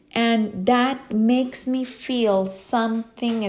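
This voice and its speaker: A woman speaks with a Costa Rican accent. Her pace is very slow and her intonation monotone and flat. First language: Spanish. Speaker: English teacher and podcaster. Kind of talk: personal monologue podcast. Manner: casual, frequent laughter.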